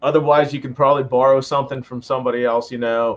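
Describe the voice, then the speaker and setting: This man has an ordinary speaking voice with a medium pitch and an American accent. He talks at a fairly quick pace. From western Pennsylvania. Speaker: firearms instructor. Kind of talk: podcast interview.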